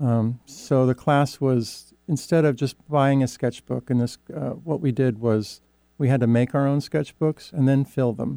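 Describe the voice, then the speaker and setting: A man talks at a fairly slow pace in a medium pitch with a dark, mellow tone. The sound is dry and close, with no echo. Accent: Pacific Northwest. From Oregon Coast Range, rural. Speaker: artist and art teacher. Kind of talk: interview. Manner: halting.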